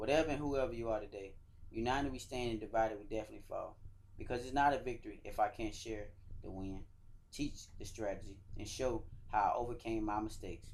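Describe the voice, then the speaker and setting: In a room with audible echo, a man with a Georgia accent talks at a very fast pace in a medium pitch with ordinary pitch variation. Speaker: soldier and motivational speaker. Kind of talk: motivational speech.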